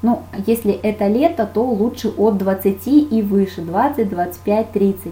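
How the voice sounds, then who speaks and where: Her voice has a dark, mellow tone, somewhat breathy, at a medium pitch with ordinary pitch variation. The woman's speech carries audible room echo. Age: 30s. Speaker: makeup artist. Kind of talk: webinar lecture. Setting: online webinar.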